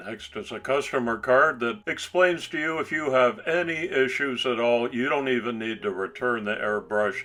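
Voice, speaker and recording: A man at medium pitch and moderate pace, ordinary pitch variation, hardly any pauses, noticeable background noise. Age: 60s. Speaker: hobbyist reviewer. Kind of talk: product review.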